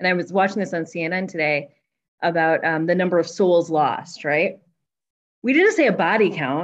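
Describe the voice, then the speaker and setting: In an ordinary speaking voice, a woman talks at a moderate pace with ordinary pitch variation. Her pitch is fairly low, and the background is quiet. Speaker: leadership development manager. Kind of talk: casual interview chat.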